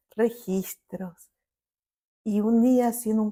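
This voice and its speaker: Very slow speech from a woman with a fairly high pitch and a dark, mellow tone. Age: 50s. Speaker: family constellations therapist. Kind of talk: interview.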